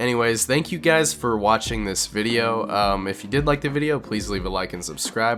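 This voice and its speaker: Lively intonation marks a man speaking at a fairly quick pace amid noticeable background noise. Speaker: YouTube video essayist. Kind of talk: scripted narration. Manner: casual, many fillers.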